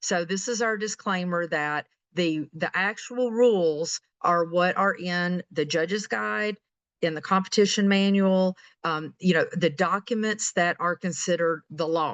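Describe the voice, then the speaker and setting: An unremarkable speaking voice moves at a fairly slow pace with ordinary pitch variation. The sound is dry and close with no echo against a quiet background. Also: woman, fairly low pitch for a woman. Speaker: webinar presenter, regional support manager. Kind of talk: webinar presentation. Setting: online webinar.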